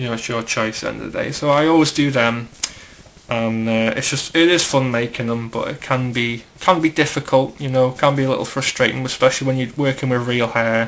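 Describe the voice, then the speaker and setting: A man with a British accent at a medium pitch, fairly quick and fairly even in intonation, over noticeable background noise. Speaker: hobbyist custom figure maker. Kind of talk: tutorial. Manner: casual, filler-heavy.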